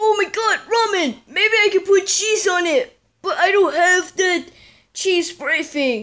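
Someone is doing a put-on character voice at an extremely high pitch. The delivery is fairly slow. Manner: excitable, goofy.

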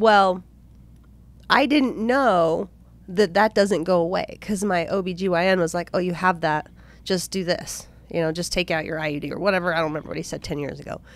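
In a plain, everyday voice, the speaker keeps a moderate pace with ordinary pitch variation, in a dry sound with no echo. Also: woman, fairly low pitch for a woman. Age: 30s. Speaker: podcast co-host. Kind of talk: casual chat. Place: studio. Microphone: studio mic.

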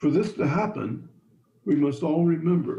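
A man speaks in a somewhat breathy voice. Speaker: engineering professor. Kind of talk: lecture. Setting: video call, audio only.

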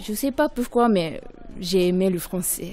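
Crowd noise fills the background as a woman speaks at a very slow pace. Her pitch is medium and her intonation lively. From Japan. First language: Japanese (speaking French). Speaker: primary school French teacher. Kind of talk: interview. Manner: halting, many hesitations.

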